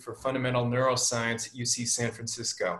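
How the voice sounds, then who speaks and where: Quiet background behind a man's voice. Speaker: webinar host. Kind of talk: host introduction. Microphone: video call.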